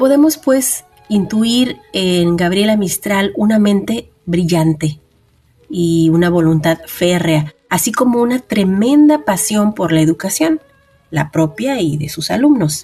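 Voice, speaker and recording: A woman at a medium pitch speaks very slowly with a warm tone and very wide pitch swings. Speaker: radio host. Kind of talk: radio literary program hosting. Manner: warm, conversational.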